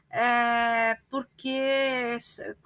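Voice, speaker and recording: A raised, projected female voice, bright and sharp in tone. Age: 60s. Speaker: retired teacher and librarian, activist. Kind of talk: interview. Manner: halting, many fillers.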